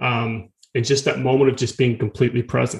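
Speaking very fast in a medium pitch, a man with an American accent sounds somewhat breathy. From US South, rural North Florida. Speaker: fitness and meditation instructor. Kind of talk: casual interview chat and storytelling.

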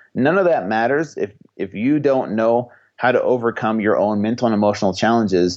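A man speaks at a fairly quick pace with an ordinary speaking voice, medium pitch and ordinary pitch variation. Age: 30s. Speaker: personal trainer. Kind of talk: interview.

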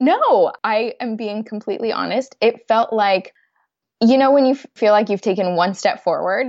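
With an American accent, a woman talks at a moderate pace and ordinary pitch variation. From US West Coast, San Francisco Bay Area. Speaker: financial expert. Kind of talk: interview.

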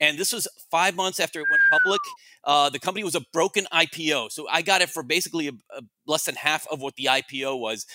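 A very fast man's voice, fairly high in pitch, with an American accent, a bright, sharp tone, ordinary pitch variation and a dry, close sound with no echo. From Miami, Cuban American. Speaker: investment analyst. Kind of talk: interview storytelling. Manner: halting, many fillers.

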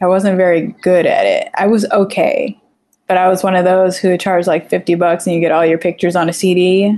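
A woman with a dark, mellow tone talks fairly quickly in a monotone with flat intonation. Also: medium pitch for a woman, very even loudness. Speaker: photographer and logo designer. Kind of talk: interview. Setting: at home, daughter in room.

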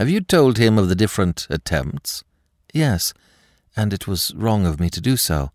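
The background is quiet. An unforced voice reads with lively intonation.

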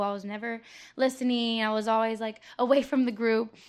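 In an ordinary speaking voice, a woman with an American accent talks at a fairly quick pace, fairly high in pitch with fairly even intonation, against a quiet background. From Tampa, Florida. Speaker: DJ and rapper. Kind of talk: casual interview. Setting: coffee shop.

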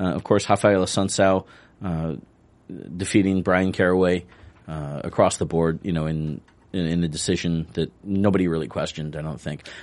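A man with an American accent speaks at a very deep, low pitch. His pace is moderate and his intonation fairly even. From upstate New York. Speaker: sports podcast co-host. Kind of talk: casual chat. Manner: halting.

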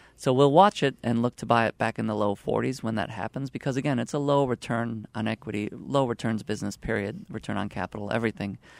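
On a very clean recording with a silent background, a man speaks very fast with hardly any pauses. His medium-pitched voice has vocal fry and ordinary pitch variation, in a dry, close sound with no echo. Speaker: investment analyst. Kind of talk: casual chat about stock picks. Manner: animated, joking.

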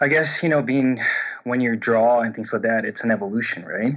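Speaking with a Portuguese accent, a man talks at a medium pitch. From Brazil. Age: 30s. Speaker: coaching caller. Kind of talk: personal coaching conversation. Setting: phone call. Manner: halting, many repetitions and fillers; subdued, a bit shut down.

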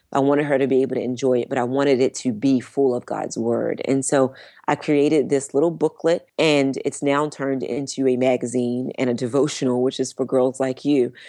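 A woman with an American accent, her pitch very deep and low and her tone dark and mellow, speaking fairly quickly in a flat monotone against a quiet background. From Baltimore, US. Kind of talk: testimony.

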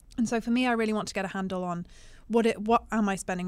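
In a very clean recording with a silent background, a woman with a British accent speaks with fairly even intonation. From UK. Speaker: stock market analyst. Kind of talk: casual chat. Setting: studio.

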